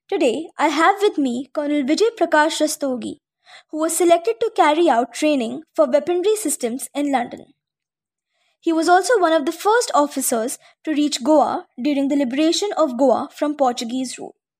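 With an Indian accent, a woman talks at a moderate pace in a high-pitched voice with lively intonation. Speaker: radio host. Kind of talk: radio interview host.

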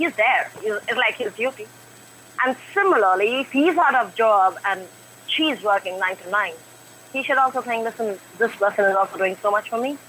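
A woman's fairly high, lively voice over noticeable background noise. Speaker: caller. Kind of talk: opinion on call-in show. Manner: fast, non-stop.

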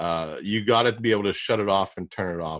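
A man with a Pittsburgh accent speaks at a moderate pace in a fairly low pitch with ordinary pitch variation, recorded very cleanly against a silent background. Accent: Pittsburgh American, noticeable. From Pittsburgh, US. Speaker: podcast host and digital marketer. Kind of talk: casual interview.

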